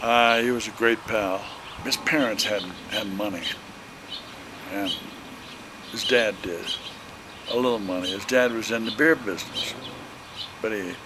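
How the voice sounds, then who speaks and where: Over noticeable background noise and audible room echo, a man with an American accent talks at a moderate pace and medium pitch, with ordinary pitch variation and long, frequent pauses. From Illinois. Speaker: elderly relative interviewed. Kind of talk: family reminiscence interview. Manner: halting.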